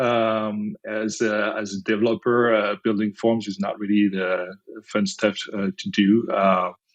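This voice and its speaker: A man speaks with a French accent at a moderate pace. His pitch sits fairly low. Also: hardly any pauses. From France. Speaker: company founder and CEO. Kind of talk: podcast interview. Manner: hesitant, many fillers.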